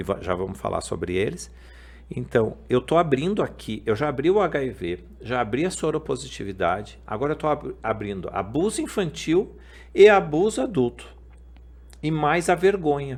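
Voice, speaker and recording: This man's fairly high voice carries vocal fry and very wide pitch swings at a moderate pace, captured on a very clean recording against a silent background. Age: 50s. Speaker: podcast host. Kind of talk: testimony.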